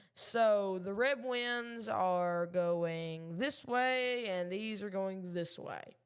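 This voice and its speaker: A woman with a Southern US accent speaks at medium pitch and a very slow pace, with ordinary pitch variation and hardly any pauses. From Kentucky. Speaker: amateur weather streamer. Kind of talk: live weather commentary. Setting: live stream at home desk. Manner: halting, many fillers.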